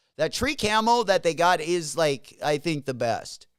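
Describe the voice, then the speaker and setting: A man's fairly high voice at a moderate pace, on a very clean recording with a silent background. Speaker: livestream host, sneaker reseller. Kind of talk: casual livestream chat. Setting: live stream. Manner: mumbling; casual, halting with fillers.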